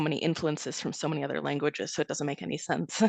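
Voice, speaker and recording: A woman's very deep, low voice with vocal fry and a Canadian accent, very fast in pace, with a dry, close sound and no echo. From Greater Toronto Area suburb, Canada. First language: Serbian. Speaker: essayist. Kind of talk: interview.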